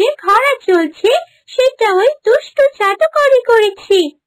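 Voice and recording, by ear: A cartoonish character voice, extremely high-pitched, at a fairly slow pace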